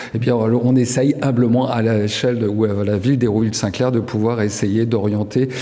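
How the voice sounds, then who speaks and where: A man at medium pitch and moderate pace, monotone and flat, with audible room echo and noticeable background noise. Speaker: local elected official. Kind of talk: award acceptance speech.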